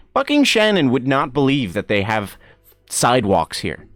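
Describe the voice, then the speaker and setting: A man with an American accent, very wide pitch swings and a moderate pace, with music in the background. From Ireland, Gweedore (Donegal). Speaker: streamer. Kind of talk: casual chat. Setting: live stream. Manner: animated.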